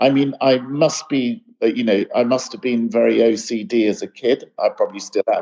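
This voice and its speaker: A man talks with an English accent at a moderate pace. He leaves hardly any pauses. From UK. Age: 60s. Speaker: light artist. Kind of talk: interview conversation.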